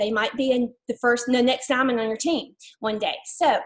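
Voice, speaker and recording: This woman has an Alabama accent and a high pitch. She talks at a moderate pace with fairly even intonation. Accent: Southern US (Alabama). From US South, Mobile, Alabama. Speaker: network marketing distributor. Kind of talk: testimony.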